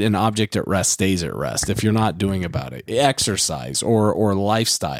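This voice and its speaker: A man at a moderate pace and fairly low pitch, with noticeable background noise. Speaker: podcast co-host. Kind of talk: casual chat.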